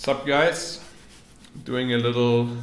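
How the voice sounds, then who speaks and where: Words come at a very slow pace. Audible room echo surrounds the voice. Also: man. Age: 20s. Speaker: professional esports player. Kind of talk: interview answers, reading questions aloud. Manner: casual, with fillers.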